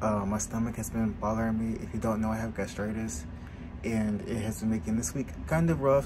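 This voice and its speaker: Noticeable background noise under a fairly quick male voice with ordinary pitch variation. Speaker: vlogger. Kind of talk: casual vlog chat. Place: home room. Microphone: phone near.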